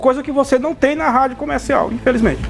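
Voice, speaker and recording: A man with an extremely high pitch, talking at a very fast pace. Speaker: radio news presenter. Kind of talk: casual on-air chat. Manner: conversational.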